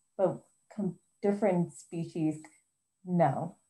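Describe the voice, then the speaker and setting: A woman with an American accent speaks very slowly in a dark, mellow, somewhat breathy tone. The background is quiet. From United States. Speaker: zoology researcher; presenter. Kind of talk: educational presentation. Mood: friendly, animated. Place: home room. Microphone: video call.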